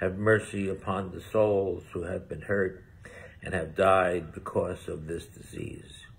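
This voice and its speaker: A man with a very deep, low pitch speaks at a fairly slow pace, somewhat breathy, in a monotone, flat intonation. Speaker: deacon. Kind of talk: fervent prayer with call-and-response refrains. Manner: earnest, pleading, rhythmic repetition. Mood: solemn, earnest. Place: home room. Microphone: phone near.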